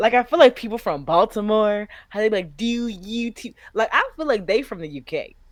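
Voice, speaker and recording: A woman with a fairly high voice speaks fairly quickly in an animated tone, her intonation lively and her loudness swinging widely. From US South, Nashville, Tennessee. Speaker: flight attendant and content creator. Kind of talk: casual chat.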